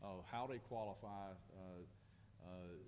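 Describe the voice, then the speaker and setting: A man speaks with a Lowcountry South Carolina accent and ordinary pitch variation. Audible room echo surrounds his voice. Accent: Southern US (Lowcountry South Carolina). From US South, Beaufort County, South Carolina. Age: 60s. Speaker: county sheriff. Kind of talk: press conference Q&A. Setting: press conference.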